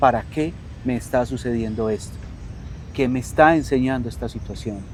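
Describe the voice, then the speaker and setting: Over noticeable background noise, the speaker has a calm tone and lively intonation. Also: man. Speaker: coach and teacher. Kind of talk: interview conversation. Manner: soft-spoken.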